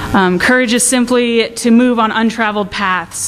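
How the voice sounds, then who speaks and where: Over noticeable background noise and audible room echo, a woman talks in a fairly high pitch. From US Northwest. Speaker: college student speaker. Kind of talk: inspirational talk. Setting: stage with audience. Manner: loud; casual, rambling with fillers.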